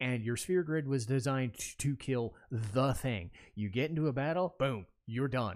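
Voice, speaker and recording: On a very clean recording with a silent background, a man talks at a fairly slow pace in an ordinary speaking voice, medium-pitched with ordinary pitch variation. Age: 30s. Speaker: podcast host and gaming content creator. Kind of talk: solo casual monologue. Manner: casual, frequent fillers and restarts.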